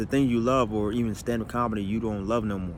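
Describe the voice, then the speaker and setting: A man with fairly low pitch and fairly even intonation speaks at a fairly quick pace, with audible room echo. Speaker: comedian. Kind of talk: personal monologue video. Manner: fast pressured speech, words stumbling; stammering repetitions.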